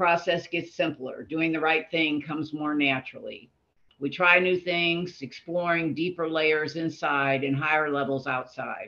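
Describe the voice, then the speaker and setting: Speaking with an American accent, a woman has a very deep, low pitch. Her pace is moderate and her intonation fairly even. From Florida panhandle. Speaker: recovery group member. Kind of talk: casual group discussion.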